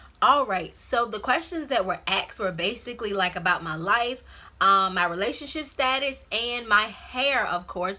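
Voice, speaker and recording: A bright, sharp voice with an American accent carries lively intonation. The recording is very clean, with a silent background. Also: woman, fairly high pitch for a woman. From Virginia. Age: 20s. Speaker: YouTuber. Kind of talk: casual Q&A vlog. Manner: fast.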